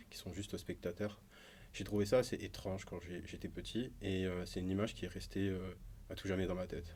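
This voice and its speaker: Speaking fairly quickly, a man uses a very deep, low pitch and a monotone, flat intonation. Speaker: musician and illustrator. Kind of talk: podcast interview. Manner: halting, many filler sounds.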